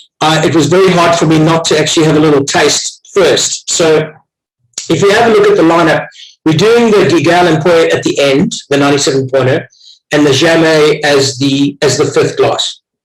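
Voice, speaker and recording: A man speaks with a South African accent at a fairly high pitch. His loudness stays very even. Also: ordinary pitch variation, moderate pace. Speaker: wine tasting host. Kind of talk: online wine tasting.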